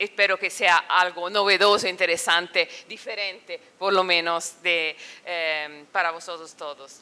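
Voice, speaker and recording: Bright and sharp in tone, a woman speaks at medium pitch and a fairly slow pace. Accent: non-native. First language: Italian (speaking Spanish). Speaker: political science professor. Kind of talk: academic talk. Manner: halting.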